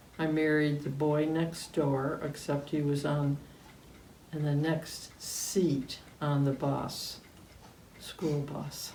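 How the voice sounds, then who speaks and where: A woman with an American accent, very deep and low in pitch, in a flat monotone at a very slow pace, with audible room echo. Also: long, frequent pauses. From upstate New York, Cayuga County. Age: 80s+. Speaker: interviewee recalling local memories. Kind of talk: oral history interview. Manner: hesitant, many fillers.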